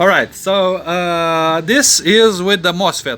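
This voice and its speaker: With music playing behind him, a man speaks at a high pitch with a non-native accent. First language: not English. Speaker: electronics hobbyist and painter. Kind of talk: tutorial. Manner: halting, many fillers.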